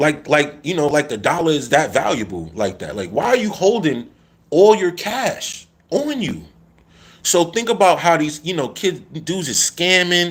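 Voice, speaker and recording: There is vocal fry in this man's voice. He keeps a moderate pace. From New York City. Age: 40s. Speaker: YouTuber live-streaming to his audience. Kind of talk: casual live stream monologue. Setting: live stream reading chat comments.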